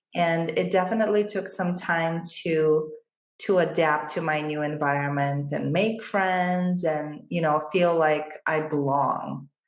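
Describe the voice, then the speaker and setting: This woman's voice sits very deep and low, with ordinary pitch variation at a fairly slow pace, and the room echo is audible. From Bulgaria. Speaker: financial advisor. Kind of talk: interview.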